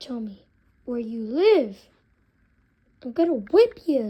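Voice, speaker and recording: A female-sounding cartoonish character voice, high-pitched, at a fairly slow pace. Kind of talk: casual talk to camera. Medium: puppet.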